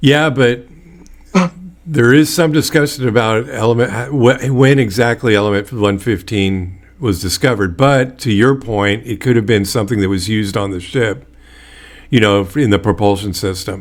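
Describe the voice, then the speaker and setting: Here a man speaks at a moderate pace in an American accent. His is an ordinary speaking voice of medium pitch. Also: ordinary pitch variation. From Bay Area, California. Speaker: podcast host. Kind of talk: casual interview.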